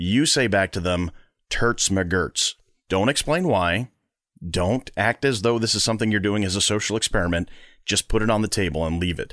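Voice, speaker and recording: At a moderate pace, a man with a fairly low pitch speaks in an unremarkable speaking voice, the sound dry and close with no echo. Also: ordinary pitch variation, quiet background. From US Northeast (Long Island, New York). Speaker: podcast host and comedian. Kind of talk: casual chat.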